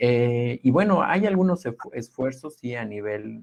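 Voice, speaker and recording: A man's voice at a fairly slow pace. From Oaxaca, Sierra Mixe, Mexico. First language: Ayöök (Mixe) (speaking Spanish). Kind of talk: webinar talk. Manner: halting, many repetitions.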